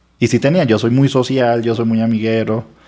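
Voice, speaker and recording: Moderate pace, dark and mellow tone, and fairly even intonation. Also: man. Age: 40s. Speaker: lawyer. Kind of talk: testimony.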